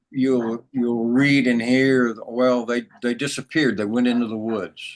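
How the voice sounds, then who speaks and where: In an American accent, a man of medium pitch talks very slowly with monotone, flat intonation. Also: long, frequent pauses. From United States. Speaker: spiritual teacher. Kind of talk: interview storytelling.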